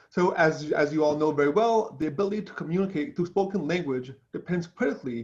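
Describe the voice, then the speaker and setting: Very fast, high-pitched speech from a man, with ordinary pitch variation. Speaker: neuroscience professor. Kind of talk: lecture. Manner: halting.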